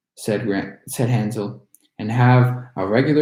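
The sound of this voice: Fairly even intonation in an unforced reading voice, against a quiet background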